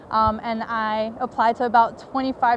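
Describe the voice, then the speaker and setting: In a flat monotone, a woman with a fairly high pitch speaks over noticeable background noise. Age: 20s. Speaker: college student and documentary maker. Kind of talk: personal testimony.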